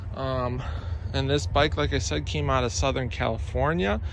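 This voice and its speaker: A man is recorded with a dry sound and no echo. Light background noise can be heard. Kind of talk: casual review commentary. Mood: enthusiastic, proud. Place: garden. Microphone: phone near.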